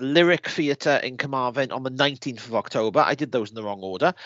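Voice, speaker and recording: A man's normal speaking voice, at a fairly quick pace with lively intonation. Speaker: podcast co-host. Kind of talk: casual chat.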